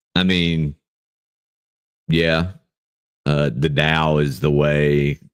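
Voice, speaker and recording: Very slow and loud, a man speaks in a very deep, low voice with monotone, flat intonation and a dry, close sound with no echo. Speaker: livestream Bible study host. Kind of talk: casual livestream chat. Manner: speaking louder from natural voice; halting, many fillers.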